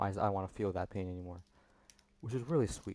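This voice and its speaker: A fairly low-pitched man talking at a very fast pace on a very clean recording with a silent background. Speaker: music reaction youtuber. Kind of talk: song reaction commentary.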